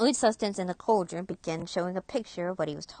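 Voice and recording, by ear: Pitch varies in an ordinary way as someone does reading aloud in a natural voice.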